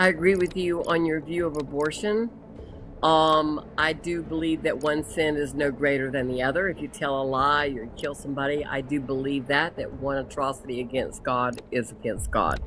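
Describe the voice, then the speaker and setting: A woman's very deep, low-pitched voice at a moderate pace, with ordinary pitch variation. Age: 70s. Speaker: caller. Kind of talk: testimony. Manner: halting.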